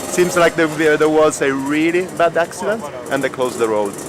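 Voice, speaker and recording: A man with an Italian accent speaks at a fairly quick pace. Background noise is noticeable. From southern Italy (Catanzaro). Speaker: podcaster and cyclist. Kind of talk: casual vlog chat.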